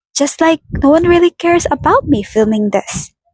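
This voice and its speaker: With a non-native accent, a woman speaks at a fairly slow pace with very wide pitch swings, in a dry, close sound with no echo. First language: not English. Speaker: vlogger. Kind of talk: casual vlog monologue. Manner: halting.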